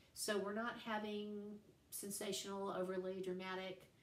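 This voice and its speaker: Fairly slow speech in an American accent, with audible room echo and noticeable background noise. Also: woman. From East Ridge, Tennessee (US South). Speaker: literature teacher. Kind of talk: recorded class lecture. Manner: casual, conversational.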